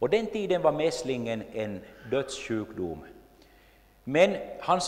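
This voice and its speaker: The pitch of a man's voice swings very widely. Room echo can be heard. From Finland, Jakobstad (Swedish-speaking Ostrobothnia). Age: 50s. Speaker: lay preacher and church history speaker. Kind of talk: lecture.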